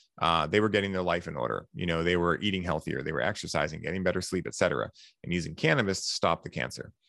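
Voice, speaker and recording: Speaking at a very fast pace, a man with a very deep, low pitch shows vocal fry and ordinary pitch variation. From Massachusetts, US. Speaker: podcast host and wellness coach. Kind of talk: casual chat. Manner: animated.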